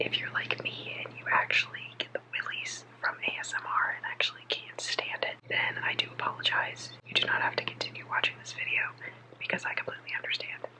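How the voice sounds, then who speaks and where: A woman whispering at a fairly quick pace amid noticeable background noise. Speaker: vlogger. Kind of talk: casual ASMR vlog talk to camera. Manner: whispered.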